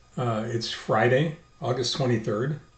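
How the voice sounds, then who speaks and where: A somewhat breathy man talks at a moderate pace, with audible room echo around him. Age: 70s. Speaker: video blogger, stem cell transplant patient. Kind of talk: personal video diary. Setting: video blog recording. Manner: halting, many fillers and repetitions.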